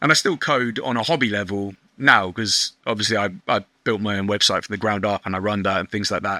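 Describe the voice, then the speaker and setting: The recording is very clean, with a silent background. A man talks at a fairly quick pace in a bright, sharp tone. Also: fairly low pitch for a man, ordinary pitch variation. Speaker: online shop owner. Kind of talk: podcast interview. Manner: loud.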